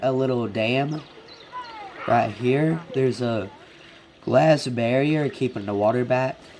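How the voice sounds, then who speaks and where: Noticeable background noise sits behind a man with a medium pitch. He talks at a very slow pace with long, frequent pauses. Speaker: gaming video creator. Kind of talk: casual game walkthrough. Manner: casual, hesitant.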